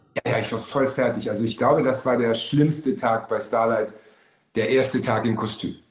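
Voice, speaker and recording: A man talks at a moderate pace in a medium pitch. His intonation stays fairly even, an ordinary speaking voice. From Berlin. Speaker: actor. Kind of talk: casual chat.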